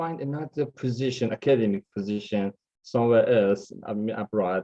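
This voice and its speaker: This man has a dark, mellow tone and a medium pitch, with a Persian accent. He talks at a fairly slow pace with lively intonation. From Iran. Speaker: mathematics lecturer. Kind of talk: online interview. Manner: hesitant.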